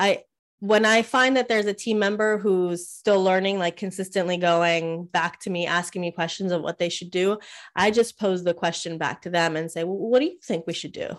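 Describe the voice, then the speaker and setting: A woman in a normal speaking voice with an American accent talks at a medium pitch and a moderate pace, with ordinary pitch variation, on a very clean recording with a silent background. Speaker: podcast host and business coach. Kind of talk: interview. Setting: live stream.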